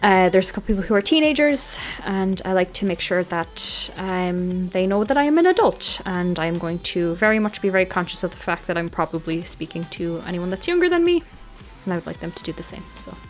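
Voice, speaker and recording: Amid noticeable background noise, a woman with an Irish accent talks at a fairly quick pace and medium pitch, with ordinary pitch variation and big swings in loudness. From Ireland, Dublin. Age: 20s. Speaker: streamer. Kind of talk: casual chat. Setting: livestream.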